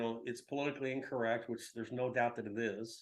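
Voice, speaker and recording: At a moderate pace, a man speaks in a Texan accent. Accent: Texan American English. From Texas, San Antonio. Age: 60s. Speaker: publisher. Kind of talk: interview. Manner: halting, many fillers.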